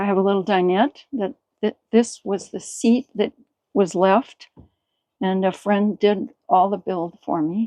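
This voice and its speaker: A woman speaks at a very slow pace in a dark, mellow tone, medium in pitch with ordinary pitch variation, in a dry, close sound with no echo. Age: 70s. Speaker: van dweller and artist. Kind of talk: casual interview. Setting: inside a van.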